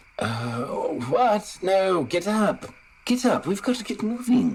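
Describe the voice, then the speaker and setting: Someone speaks at a very slow pace in a British accent. Noticeable background noise is present. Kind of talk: formal, proper. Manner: stiff, prim.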